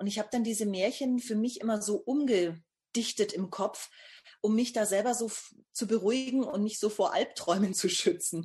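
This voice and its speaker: A woman's somewhat breathy voice moves at a moderate pace, showing ordinary pitch variation. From Upper Franconia, northern Bavaria (Bamberg). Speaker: novelist and screenwriter. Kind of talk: interview.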